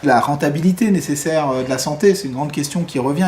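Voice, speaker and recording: The speaker is a man with a fairly high pitch and ordinary pitch variation. Noticeable background noise is present. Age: 30s. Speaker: film director and former doctor. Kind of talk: interview. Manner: halting, many hesitations.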